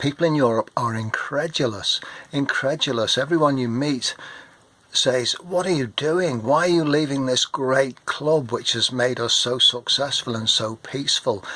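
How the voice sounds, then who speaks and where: A man with an English accent speaks in a bright, sharp tone. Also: fairly high pitch for a man, ordinary pitch variation, moderate pace. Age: 60s. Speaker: retired marine and vlogger. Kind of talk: political rant to camera. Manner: animated.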